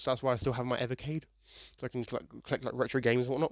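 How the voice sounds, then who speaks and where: Speaking very fast, a man keeps a medium pitch and fairly even intonation. The sound is dry and close with no echo. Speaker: gaming commentator. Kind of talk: casual, conversational. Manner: stutters, repeats words and restarts phrases.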